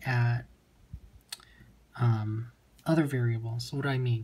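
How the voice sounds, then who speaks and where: A man's medium-pitched voice, somewhat breathy, with a dark, mellow tone at a fairly slow pace. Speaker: chemistry tutor. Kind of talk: tutorial.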